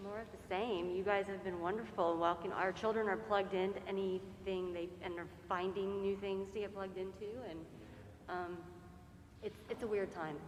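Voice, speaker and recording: A woman with an American accent speaks at a medium pitch with fairly even intonation, and the room echo is audible. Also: moderate pace. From central Florida. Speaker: priest's wife. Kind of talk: casual remarks to congregation.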